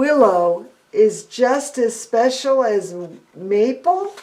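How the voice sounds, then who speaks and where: A woman puts on a character voice in a high pitch. She speaks at a very slow pace. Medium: read story.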